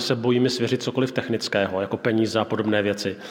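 Here is an unremarkable speaking voice. A man talks at a fairly quick pace. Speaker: pastor and church leader. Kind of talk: sermon; interview.

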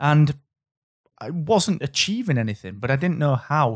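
A man's fairly high voice with a British accent and lively intonation, on a very clean recording over a silent background. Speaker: podcast host. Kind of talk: casual interview. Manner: animated.

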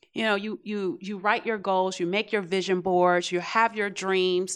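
A woman talks at medium pitch and a moderate pace, with fairly even intonation. It is an ordinary speaking voice, in a very clean recording with a silent background. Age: 40s. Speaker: audience member. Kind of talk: audience feedback. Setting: classroom with live audience.

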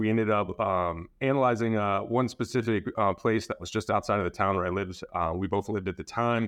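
This man has an unremarkable speaking voice, pitched fairly low, with fairly even intonation. He talks at a fairly quick pace with hardly any pauses against a quiet background. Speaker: marketing analytics director. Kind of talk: casual interview conversation.

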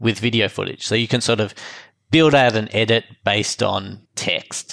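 A man's fairly low voice carries an Australian accent. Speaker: filmmaker and post-production professional. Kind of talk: casual interview chat. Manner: casual, hesitant with fillers.

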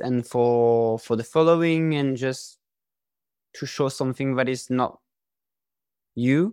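A man with a French accent and fairly even intonation in a very clean recording with a silent background. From France. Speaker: influencer marketing consultant. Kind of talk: interview.

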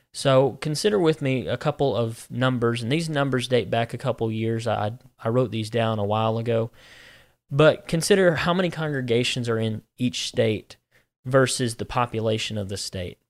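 A man speaks in a Southern US accent with ordinary pitch variation, recorded very cleanly against a silent background. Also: medium pitch for a man, moderate pace. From US Deep South (Georgia, Alabama). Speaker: minister. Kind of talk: casual religious discussion.

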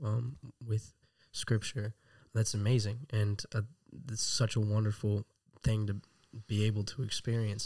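In an American accent, a man speaks at a moderate pace in a fairly low, somewhat breathy voice with monotone, flat intonation, on a very clean recording with a silent background. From Texas. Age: 20s. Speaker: Bible school student. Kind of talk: interview.

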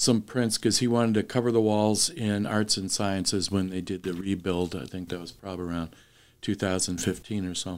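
Recorded very cleanly against a silent background, a man has an ordinary speaking voice at a fairly low pitch, with ordinary pitch variation. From Wisconsin. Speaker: artist and art professor. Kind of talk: interview.

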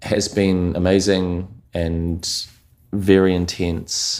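A man with a New Zealand accent and very deep, low pitch. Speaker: commercial and music video director. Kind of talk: casual interview chat.

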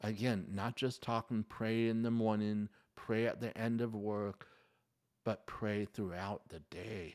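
In a very clean recording with a silent background, a man with a normal speaking voice talks at a fairly slow pace in a fairly low pitch. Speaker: podcast host. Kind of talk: solo podcast talk with prayer. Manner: earnest, pleading; conversational, upbeat.

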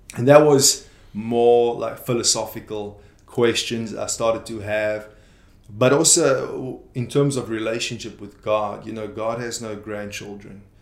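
A man at medium pitch, fairly slow, with fairly even intonation and audible room echo. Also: big swings in loudness. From South Africa, Free State. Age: 20s. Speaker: youth pastor. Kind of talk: interview.

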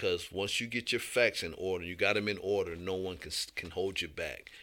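A man with an American accent speaks at a moderate pace in a fairly low pitch with a bright, sharp tone, on a very clean recording with a silent background. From Ohio, near the Michigan state line. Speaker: human rights activist, nonprofit founder. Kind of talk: radio interview. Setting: radio studio.

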